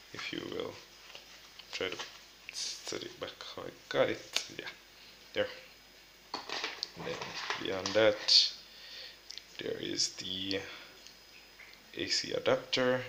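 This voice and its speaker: Noticeable background noise runs under a man's speech. He talks at a very slow pace with long, frequent pauses. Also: big swings in loudness. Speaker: tech youtuber. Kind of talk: unboxing tutorial. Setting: at home. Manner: soft-spoken.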